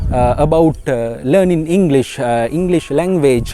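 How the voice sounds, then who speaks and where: Against noticeable background noise, a man with a Sri Lankan accent speaks in a fairly high pitch with ordinary pitch variation. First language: Sinhala. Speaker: English teacher. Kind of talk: tutorial. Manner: halting, many fillers as deliberate broken English demo.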